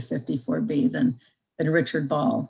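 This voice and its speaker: A woman's voice is heard. It sits very deep and low in pitch. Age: 60s. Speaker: retiring district court judge. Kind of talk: farewell speech. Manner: halting, many fillers.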